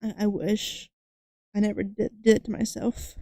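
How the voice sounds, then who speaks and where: A woman's fairly high, dark and mellow voice at a very slow pace, with a dry, close sound and no echo. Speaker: streamer drawing live. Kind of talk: casual livestream chat. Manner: halting, many fillers and restarts.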